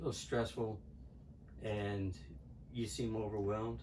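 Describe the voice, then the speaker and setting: Somewhat breathy and fairly low in pitch, a man speaks at a very slow pace with audible room echo. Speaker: patient with oral appliance. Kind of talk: interview.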